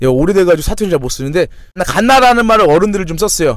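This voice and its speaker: This is a man speaking. His pitch is high. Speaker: fitness trainer and YouTuber. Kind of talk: casual storytelling vlog.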